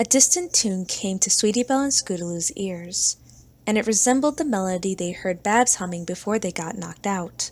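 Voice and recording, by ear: A natural voice, reading aloud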